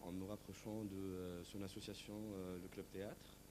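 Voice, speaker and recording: Fairly slow speech from a man, fairly low-pitched with a dark, mellow tone and audible room echo. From Tunisia. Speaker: stage actor. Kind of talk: interview. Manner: hesitant, many fillers.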